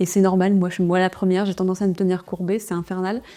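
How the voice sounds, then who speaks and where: Captured in a very clean recording with a silent background, a woman with a dark, mellow tone and medium pitch talks at a very fast pace. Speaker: entrepreneur and vlogger. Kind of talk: vlog.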